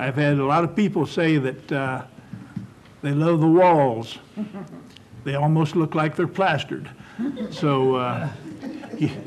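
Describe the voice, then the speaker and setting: Fairly slow man's speech in a Midwestern American accent, with long, frequent pauses, a fairly high pitch and ordinary pitch variation. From West Milton, Ohio, US Midwest. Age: 70s. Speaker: oral history panelist. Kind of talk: oral history reminiscence. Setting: panel taping.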